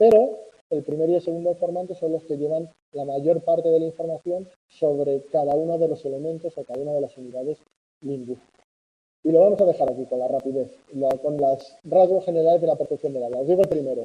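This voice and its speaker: Speaking at a fairly quick pace, a man with a dark, mellow tone and a fairly high pitch shows ordinary pitch variation. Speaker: university lecturer. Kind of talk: lecture.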